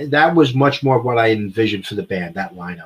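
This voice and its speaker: A man with an American accent, somewhat breathy, at a medium pitch. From New York (Bronx). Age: 60s. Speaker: horrorcore band singer. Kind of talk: casual chat.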